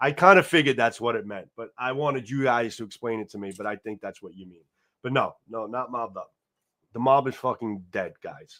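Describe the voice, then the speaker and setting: On a very clean recording with a silent background, a man speaks fairly quickly at a medium pitch with ordinary pitch variation. His tone is bright and sharp, and his loudness swings widely. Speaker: livestream host, knife channel. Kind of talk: casual live stream chat. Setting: live stream. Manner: casual, repetitive with stammers.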